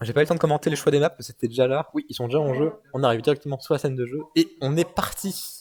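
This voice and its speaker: A man speaks at a fairly quick pace in an animated tone. The sound is dry and close, with no echo. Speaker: esports commentator. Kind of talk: live commentary. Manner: fast.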